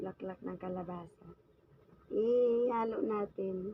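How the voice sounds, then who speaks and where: A somewhat breathy woman's voice, fairly high in pitch with ordinary variation. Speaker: vlogger. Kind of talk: cooking tutorial. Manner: casual, chatty.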